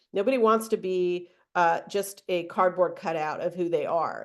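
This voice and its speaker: A woman with a normal speaking voice talks at a moderate pace, medium in pitch. The background is quiet. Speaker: trainer. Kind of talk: webinar training.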